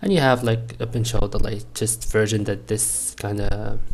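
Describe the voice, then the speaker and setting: At a moderate pace, a man speaks in a somewhat breathy voice at medium pitch with monotone, flat intonation. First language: not English. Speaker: networking student. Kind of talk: tutorial. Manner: halting.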